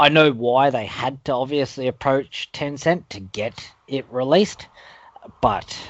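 A man speaks in an Australian accent. His pace is fairly slow. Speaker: gaming podcast co-host. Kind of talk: casual chat.

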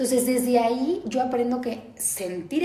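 Both audible room echo and noticeable background noise surround a woman's voice. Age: 30s. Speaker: nutritionist. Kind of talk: interview.

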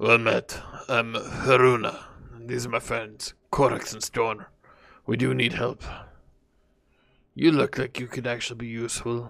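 Putting on a raspy character voice at medium pitch, a man speaks at a moderate pace with long, frequent pauses. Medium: actual play. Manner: blunt.

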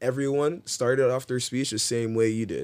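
Speech with ordinary pitch variation comes through on a very clean recording with a silent background. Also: man. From Ontario, Canada. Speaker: professional footballer. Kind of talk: casual chat. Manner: animated.

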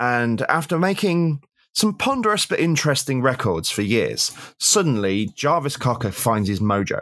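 On a very clean recording with a silent background, a man with an English accent keeps very even loudness while his pitch swings very widely. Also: medium pitch for a man, moderate pace. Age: 40s. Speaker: music critic and author. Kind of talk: casual chat. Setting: at home.

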